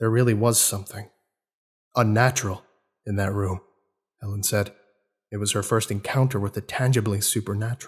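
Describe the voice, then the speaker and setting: A man's fairly low, somewhat breathy voice in a monotone, flat intonation, fairly quick in pace yet with long, frequent pauses, on a very clean recording with a silent background. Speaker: narrator. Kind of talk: dramatic horror audiobook reading.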